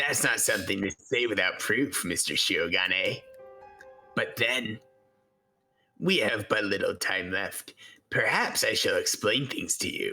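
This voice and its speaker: With faint music in the background, a man does a raspy put-on character voice at a fairly slow pace. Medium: game stream. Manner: formal, polished.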